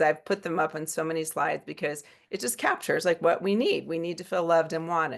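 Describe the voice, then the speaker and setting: A woman with a normal speaking voice and fairly low pitch talks at a fairly quick pace with hardly any pauses. Her pitch variation is ordinary. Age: 60s. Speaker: psychiatrist. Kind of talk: lecture. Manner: casual, with many fillers.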